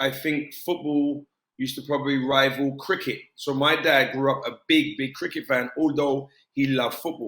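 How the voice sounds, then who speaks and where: A man with a British accent talks at a moderate pace. His fairly high voice stays monotone and flat. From South London, England. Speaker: former professional footballer. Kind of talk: interview.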